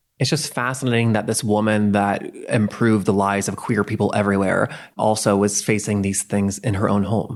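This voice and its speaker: At a fairly quick pace, a fairly low-voiced man speaks in a monotone, flat intonation with very even loudness, on a very clean recording with a silent background. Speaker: podcast host. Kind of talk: interview question.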